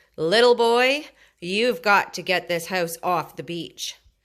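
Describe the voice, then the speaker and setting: A raspy, put-on character voice moves slowly with lively intonation and big swings in loudness, in a very clean recording with a silent background. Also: woman, medium pitch for a woman. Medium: read story. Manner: bossy, scoffing.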